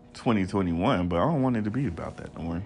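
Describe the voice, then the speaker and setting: A man talks very fast in a fairly low voice, his pitch varying in an ordinary way. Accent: American. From Texas. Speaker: podcast host. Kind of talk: casual chat. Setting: recording with friends on a trip.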